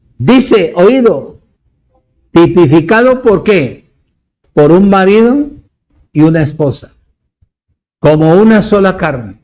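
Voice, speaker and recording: The speech comes at a very slow pace with long, frequent pauses and very wide pitch swings, and audible room echo is present. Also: man, high pitch for a man. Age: 70s. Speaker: preacher. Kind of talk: sermon.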